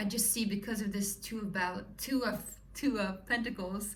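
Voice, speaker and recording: Amid noticeable background noise and audible room echo, a woman talks at a fairly quick pace in a Swedish accent. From Sweden. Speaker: tarot reader. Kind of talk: tarot reading to viewers. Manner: animated.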